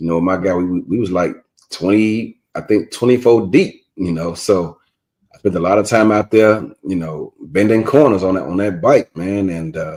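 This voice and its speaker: A man with an American accent talks at a moderate pace in a relaxed tone. His pitch is fairly low, with ordinary variation. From Chicago, South Side. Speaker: team owner and coach in an online football league. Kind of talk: casual interview. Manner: relaxed, conversational with many fillers.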